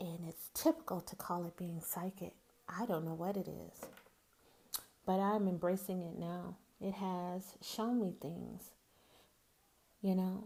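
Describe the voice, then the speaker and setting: Using a Southern accent, a woman speaks in a dark, mellow tone at a fairly slow pace with fairly even intonation and long, frequent pauses. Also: medium pitch for a woman. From US South, Greenwood, Mississippi. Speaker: podcast host. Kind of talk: casual monologue.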